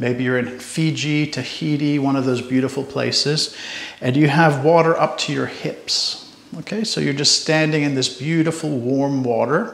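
Fairly even intonation with audible room echo. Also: man. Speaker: tai chi instructor. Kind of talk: tutorial. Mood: calm, friendly. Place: home room.

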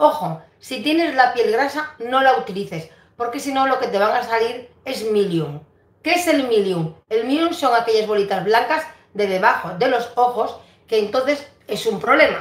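A woman talks at a fairly slow pace with a high pitch. Her intonation is lively, and the room echo is audible. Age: 60s. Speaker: beauty vlogger. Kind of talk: live stream beauty tips with viewer greetings; casual vlog chat, skincare tips. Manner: conversational, repetitive. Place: home room. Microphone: phone near.

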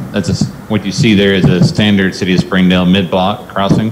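A man with a very deep, low pitch speaks at a moderate pace with fairly even intonation against light background noise. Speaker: presenter. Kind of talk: meeting presentation. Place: meeting room. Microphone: podium.

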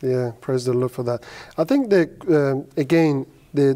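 Fairly high-pitched male voice, dark and mellow in tone, at a moderate pace. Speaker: interviewer. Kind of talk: interview. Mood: friendly, smiling. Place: studio.

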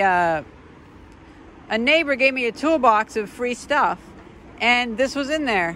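Background noise is light, and the sound is dry with no echo. A woman speaks at a fairly slow pace. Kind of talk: casual vlog chat. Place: street. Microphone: phone near.

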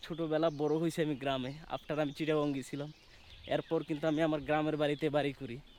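The speaker is a man whose pitch is fairly high. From Bangladesh, Kishoreganj (Bhairab). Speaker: travel vlogger. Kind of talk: casual travel vlog narration. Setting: outdoors in a village.

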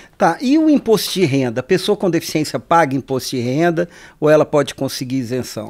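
Lively intonation marks this man's fairly high-pitched voice. He talks at a fairly quick pace over a quiet background. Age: 50s. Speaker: radio podcast host. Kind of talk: interview. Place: studio. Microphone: studio mic.

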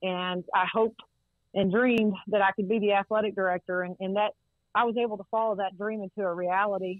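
Delivered at a fairly quick pace, the speech has a monotone, flat intonation and a Texan accent. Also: woman, medium pitch for a woman. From Texas, Central Texas (Waco area). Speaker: college football administrator. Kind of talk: interview. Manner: halting, many fillers.

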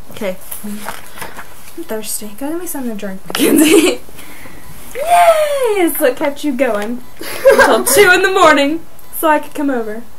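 Speaking at a moderate pace with long, frequent pauses, a woman is heard over loud background noise. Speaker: vlogger reading a book. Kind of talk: casual vlog chat with read-aloud. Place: home room. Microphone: webcam.

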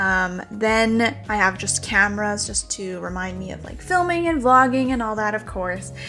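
With faint music in the background, a woman speaks at a moderate pace. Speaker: vlogger. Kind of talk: casual vlog chat. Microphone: phone near.

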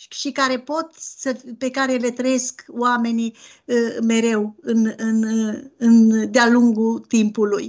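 A woman speaks at a very slow pace. The background is quiet. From Romania, Transylvania (Bistrița-Năsăud); Transylvania, Romania. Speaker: novelist. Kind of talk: interview. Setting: video call. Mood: earnest, personal. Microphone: video call.

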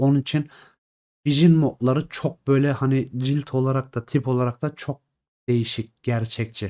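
A man's dark, mellow tone with fairly even intonation, over a quiet background. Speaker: gaming content creator. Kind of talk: casual commentary on game mods. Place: home room.

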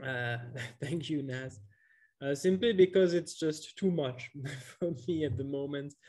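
Against a quiet background, a man talks in a dark, mellow tone at a fairly slow pace. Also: ordinary pitch variation. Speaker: economics teacher. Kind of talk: online workshop lecture. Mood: relaxed, laughs.

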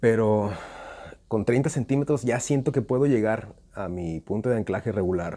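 A dark, mellow tone with a Mexican accent comes at a moderate pace. The background is quiet. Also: man, ordinary pitch variation. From Mexico. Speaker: slingshot youtuber. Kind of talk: tutorial. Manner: casual. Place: garden. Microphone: phone near.

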